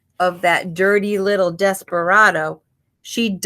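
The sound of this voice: This is an unforced reading voice. Its intonation is fairly even, and the background is quiet.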